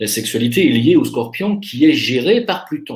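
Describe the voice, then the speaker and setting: A man speaks in a somewhat breathy voice. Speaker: astrologer. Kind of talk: monologue.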